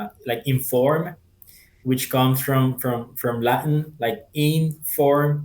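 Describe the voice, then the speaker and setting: At a very slow pace, a man of medium pitch speaks in a Spanish accent with fairly even intonation. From Colombia (Cartagena). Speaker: translator and community member. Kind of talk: interview conversation.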